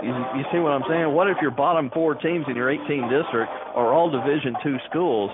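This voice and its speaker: A man with a Texan accent at a fairly quick pace, fairly high in pitch with ordinary variation and very even loudness, over noticeable background noise. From Texas, Dallas area. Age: 60s. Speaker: radio sports announcer. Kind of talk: radio interview. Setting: radio broadcast at a football game.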